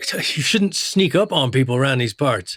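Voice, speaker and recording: A man puts on a raspy character voice at a medium pitch. He moves at a moderate pace with very wide pitch swings. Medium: audio drama. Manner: gruff, terse.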